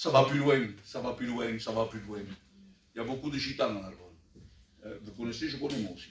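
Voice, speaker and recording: A man at medium pitch, fairly quick and somewhat breathy, with long, frequent pauses, big swings in loudness and audible room echo. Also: ordinary pitch variation. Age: 60s. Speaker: church elder preacher. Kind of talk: sermon.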